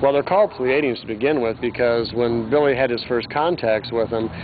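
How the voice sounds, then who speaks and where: The speaker keeps a fairly quick pace with fairly even intonation. There is noticeable background noise, and the sound is dry with no echo. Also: man. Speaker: conference interviewee. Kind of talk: interview answer. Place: street.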